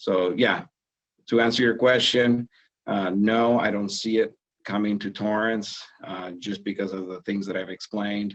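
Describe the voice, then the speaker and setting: His pitch fairly low, a man talks at a moderate pace in a monotone, flat intonation. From abroad, non-English-speaking country. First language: not English. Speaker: city council member. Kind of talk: interview. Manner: halting, many fillers and repeats.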